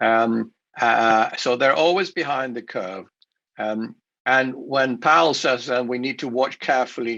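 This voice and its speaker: Speaking at a fairly slow pace, a man with a Swedish accent has a bright, sharp tone. His pitch varies in an ordinary way. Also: medium pitch for a man. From Sweden. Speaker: investment speaker. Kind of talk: conference presentation. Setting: remote recorded talk for a virtual show. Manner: halting, many fillers and restarts.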